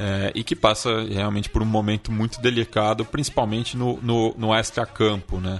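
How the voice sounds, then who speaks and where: In an unremarkable speaking voice, a man talks at a moderate pace with fairly low pitch, fairly even intonation and hardly any pauses. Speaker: podcast co-host. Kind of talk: casual chat.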